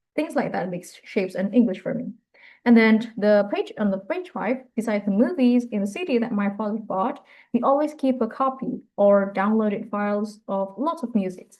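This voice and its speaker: Moderate pace and ordinary pitch variation in a slight British accent. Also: woman, fairly high pitch for a woman. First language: Indonesian. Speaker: university student. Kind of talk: class presentation. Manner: halting.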